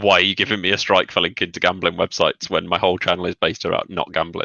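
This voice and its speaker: A man speaks very fast in a Birmingham accent. His pitch is very deep and low. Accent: Birmingham area. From English Midlands, near Birmingham. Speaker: YouTuber. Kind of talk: casual chat. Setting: livestream video call.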